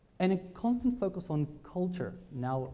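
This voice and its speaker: A man's somewhat breathy voice has a dark, mellow tone, heard with audible room echo. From Argentina. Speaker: business speaker. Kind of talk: conference talk. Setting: stage with audience.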